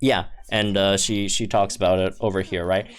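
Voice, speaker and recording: A man is talking at a moderate pace. Behind him, music plays. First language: not English. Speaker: gaming YouTuber. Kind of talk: casual video commentary. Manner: halting, many fillers and restarts; enthusiastic.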